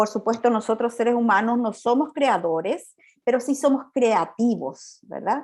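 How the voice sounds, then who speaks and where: A woman speaks at a fairly high pitch with ordinary pitch variation. Her loudness stays very even. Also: fairly slow pace. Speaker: psychologist and pastor giving a talk. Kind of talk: lecture. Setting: video call. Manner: halting, many repetitions.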